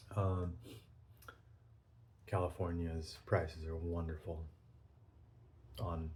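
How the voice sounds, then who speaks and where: A man with a very deep, low voice speaks very slowly in a flat monotone, somewhat breathy, with audible room echo. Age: 40s. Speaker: pipe-smoking video blogger. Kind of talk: casual monologue vlog. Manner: hesitant, many filler ums.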